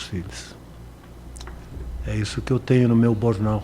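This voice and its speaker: A man speaks at a fairly slow pace in a fairly low pitch, with noticeable background noise. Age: 70s. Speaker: radio broadcaster. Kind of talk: interview.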